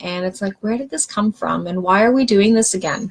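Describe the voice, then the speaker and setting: Her voice carries a somewhat breathy quality at a medium pitch for this woman. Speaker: wellness coach. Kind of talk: live stream talk. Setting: live video stream.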